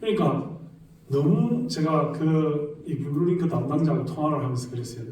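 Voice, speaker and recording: The speaker has a Gyeongsang accent, a moderate pace and ordinary pitch variation, with noticeable background noise. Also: man. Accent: Gyeongsang regional dialect. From South Korea, Gyeongsang.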